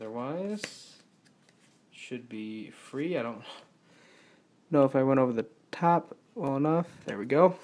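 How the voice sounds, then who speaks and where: Pitched fairly high, a man talks at a fairly slow pace with lively intonation, big swings in loudness, and long, frequent pauses. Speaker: youtuber, lego hobbyist. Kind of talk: tutorial. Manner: halting, many fillers.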